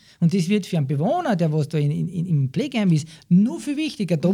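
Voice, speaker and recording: Swinging very widely in pitch, a man speaks in a high voice with a dark, mellow tone. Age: 40s. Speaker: care worker. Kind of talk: interview.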